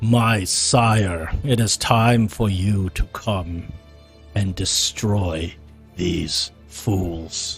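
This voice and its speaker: With clear music in the background, a man uses a put-on character voice, fairly low and very slow. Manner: commanding, eerie.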